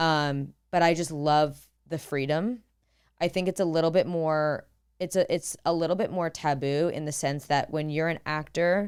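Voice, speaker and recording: A woman's fairly low voice at a moderate pace in a very clean recording with a silent background. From Boston. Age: 30s. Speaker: actor and content creator. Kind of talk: podcast interview. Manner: animated.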